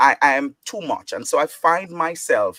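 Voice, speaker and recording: The recording is dry and close with no echo, carrying a man speaking in an animated tone. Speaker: podcast host and preacher. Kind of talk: panel discussion. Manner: loud.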